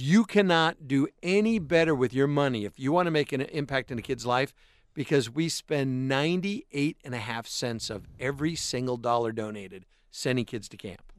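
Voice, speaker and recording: With a plain, everyday voice, a man of medium pitch speaks at a moderate pace with lively intonation and big swings in loudness, recorded in a dry, close sound with no echo against a quiet background. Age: 50s. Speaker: radio host. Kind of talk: casual chat. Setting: studio.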